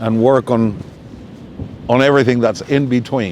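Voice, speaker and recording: Over noticeable background noise, a man talks at a fairly slow pace and medium pitch with ordinary pitch variation. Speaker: kite flyer and musician. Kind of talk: live talk with audience questions. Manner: loud.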